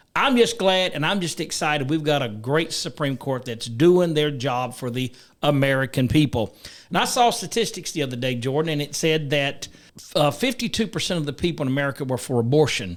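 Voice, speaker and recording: A man speaks at a fairly high pitch. His pace is fairly quick and his intonation lively. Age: 60s. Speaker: talk show host. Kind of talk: political talk show.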